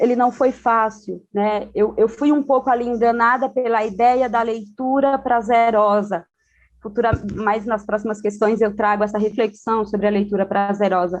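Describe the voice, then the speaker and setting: Using a normal speaking voice, a woman talks at a fairly high pitch with fairly even intonation. Her loudness stays very even and her pace moderate. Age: 30s. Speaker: educator and panelist. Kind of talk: panel discussion. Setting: video call from home.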